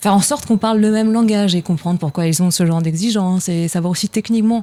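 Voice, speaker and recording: A woman's fairly low voice with ordinary pitch variation, in a dry, close sound with no echo. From France (provinces). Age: young. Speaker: actress, singer and film director. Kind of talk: interview. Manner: hesitant, many fillers.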